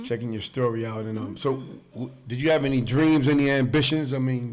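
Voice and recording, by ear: This man's pitch sits in the medium range. He talks at a fairly quick pace with fairly even intonation.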